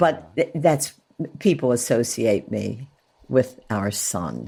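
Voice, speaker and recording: Very deep and low in pitch, a woman speaks very slowly with vocal fry, lively intonation and a dark, mellow tone. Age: 80s+. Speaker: author and retired schoolteacher. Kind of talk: interview.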